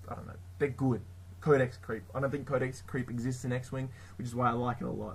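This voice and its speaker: A somewhat breathy man with an Australian accent, at a fairly quick pace. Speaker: tabletop gaming YouTuber. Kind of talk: casual tutorial. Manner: hesitant, many fillers.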